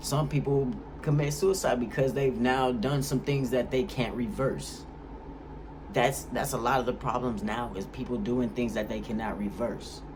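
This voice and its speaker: An animated man at a moderate pace, ordinary pitch variation, audible room echo around him. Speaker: YouTuber. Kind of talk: vlog monologue. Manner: casual, animated.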